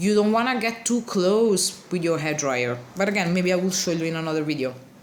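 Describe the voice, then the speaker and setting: Over noticeable background noise and audible room echo, a woman with a non-native accent speaks at a medium pitch with very wide pitch swings. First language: not English. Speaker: card alter artist. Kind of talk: tutorial. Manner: casual, with hesitations; slow-paced.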